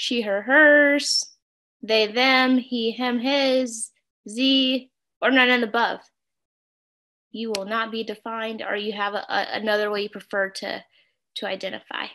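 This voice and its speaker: Woman with an American accent, fairly even intonation and long, frequent pauses, over light background noise. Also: fairly high pitch for a woman, fairly slow pace. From St. Louis, Missouri, US. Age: 30s. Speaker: workshop facilitator. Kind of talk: interactive workshop on video call. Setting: video call. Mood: warm, friendly. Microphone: video call.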